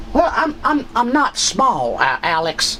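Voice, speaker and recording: A man's put-on character voice, extremely high in pitch and fairly slow, with clear background noise. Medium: comedy sketch. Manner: hesitant, halting.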